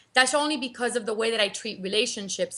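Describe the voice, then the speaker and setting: With a Cuban American accent, a woman talks at a fairly quick pace in a fairly high pitch and a bright, sharp tone over a quiet background. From Cuban American, US. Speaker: marketing entrepreneur and author. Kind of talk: interview. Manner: animated, repeats words.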